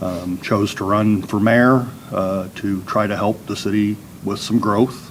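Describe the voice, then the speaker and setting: A man with a Midwestern American accent speaks in a fairly low, monotone, flat voice at a fairly slow pace, with noticeable background noise. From southeast Iowa. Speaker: political candidate. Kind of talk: candidate introduction. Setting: public forum with audience. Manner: halting, many fillers.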